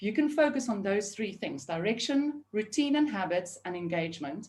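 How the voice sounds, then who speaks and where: A woman's fairly high voice sweeps through very wide pitch swings. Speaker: remote team leadership consultant. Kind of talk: webinar panel discussion. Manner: fast.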